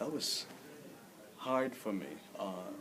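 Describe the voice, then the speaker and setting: A man talks at a moderate pace with audible room echo. Noticeable background noise sits behind him. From Philippines (Manila). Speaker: immigrant interviewee. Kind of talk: interview.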